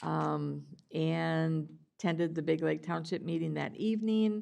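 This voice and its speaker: A woman's fairly low voice with a dark, mellow tone and an American accent, over a quiet background. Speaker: county commissioner. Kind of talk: board meeting report.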